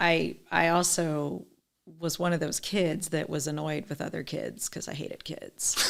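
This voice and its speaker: At a very deep, low pitch, a woman speaks fairly slowly with vocal fry and fairly even intonation. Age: 40s. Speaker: skin care sales consultant. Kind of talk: casual interview chat.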